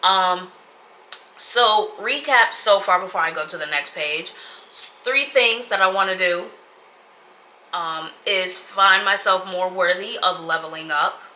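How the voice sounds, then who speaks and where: Over noticeable background noise, a woman at medium pitch talks at a fairly slow pace with ordinary pitch variation and long, frequent pauses. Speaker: lifestyle vlogger. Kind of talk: casual vlog talk to camera. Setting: home sit-down video.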